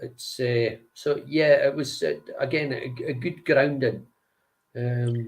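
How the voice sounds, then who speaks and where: A man speaks at a very slow pace with a Scottish accent. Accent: Scottish (Angus). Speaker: singer and guitarist. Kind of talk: interview. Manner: halting.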